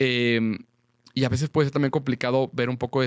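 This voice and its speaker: A man talks at a fairly quick pace in a monotone, flat way. The sound is dry and close, with no echo. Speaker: seminarian and podcast host. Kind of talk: conversational podcast discussion. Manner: halting, many fillers and repetitions.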